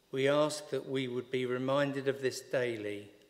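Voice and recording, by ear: At a fairly slow pace, a man talks at medium pitch with fairly even intonation.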